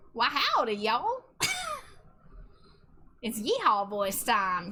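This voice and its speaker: A woman's put-on character voice in a Southern US accent, fairly high in pitch, at a very slow pace. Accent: exaggerated Southern. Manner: jokey, exaggerated.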